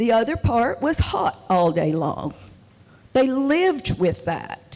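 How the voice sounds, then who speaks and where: A woman's fairly high voice in a Southern US accent, very slow, with very wide pitch swings. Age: 70s. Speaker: public commenter. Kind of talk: public comment. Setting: public meeting hall.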